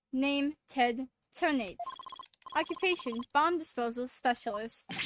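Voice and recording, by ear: A woman puts on a robotic character voice at a high pitch. She speaks at a fairly slow pace.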